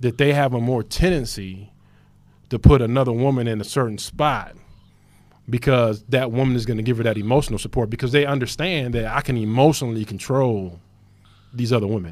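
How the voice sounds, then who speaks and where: Speaking fairly quickly, a man uses a normal speaking voice at medium pitch with ordinary pitch variation. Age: 40s. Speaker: podcast co-host. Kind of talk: casual chat.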